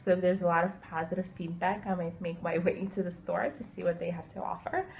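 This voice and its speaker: Somewhat breathy, this woman's fairly low voice holds a monotone, flat intonation. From Ukraine, emigrated to US when younger. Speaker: interviewee. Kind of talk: interview answers. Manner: hesitant, many filler words.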